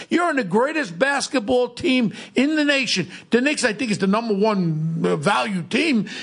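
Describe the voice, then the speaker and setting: A man with a New York accent speaks in an animated tone at a high pitch, making very wide pitch swings. His pace is moderate and his loudness very even. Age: 60s. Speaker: podcast host, former police officer. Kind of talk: casual chat. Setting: studio.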